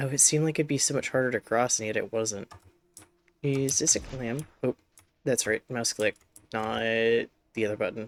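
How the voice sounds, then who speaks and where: Soft-spoken delivery at a moderate pace is broken by long, frequent pauses. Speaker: video game streamer. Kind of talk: live gameplay commentary. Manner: loud.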